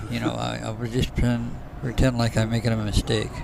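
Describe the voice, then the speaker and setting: A man with a medium pitch speaks at a very fast pace. Noticeable background noise runs underneath. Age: 70s. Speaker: bowling alley owner and commentator. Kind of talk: live commentary. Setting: bowling alley.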